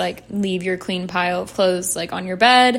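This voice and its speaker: A woman speaking in an ordinary speaking voice keeps a medium pitch and fairly even intonation. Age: 20s. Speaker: podcast host. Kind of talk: casual solo monologue.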